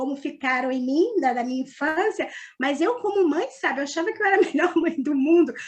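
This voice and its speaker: The delivery comes at a fairly quick pace with lively intonation. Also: woman, high pitch for a woman. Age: 60s. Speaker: participant. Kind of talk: personal testimony.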